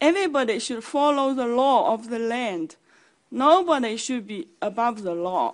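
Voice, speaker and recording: A woman in a Chinese accent with a high pitch, lively intonation and a moderate pace. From China. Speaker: community advocate. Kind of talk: public hearing testimony. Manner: formal.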